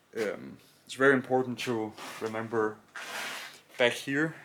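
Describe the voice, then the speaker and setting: With a Danish accent, a man at a medium pitch talks at a very slow pace with fairly even intonation. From Denmark. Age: 20s. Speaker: car hobbyist YouTuber. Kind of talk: tutorial. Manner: halting.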